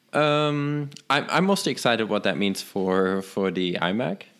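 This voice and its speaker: Against a very clean recording with a silent background, a man speaks at a moderate pace with a German accent. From Germany. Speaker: tech podcast co-host. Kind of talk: casual chat.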